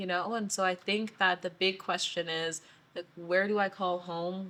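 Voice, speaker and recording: A woman with a Canadian accent talks at a fairly slow pace in an ordinary speaking voice, her pitch medium and her intonation fairly even. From Saskatchewan, Canada. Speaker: podcast guest, city designer and curator. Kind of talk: casual interview chat.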